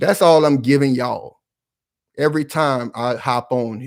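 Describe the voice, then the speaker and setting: On a very clean recording with a silent background, a man at a fairly high pitch talks at a moderate pace. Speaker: political commentary YouTuber. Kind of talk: impassioned commentary monologue. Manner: loud, yelling; animated, passionate.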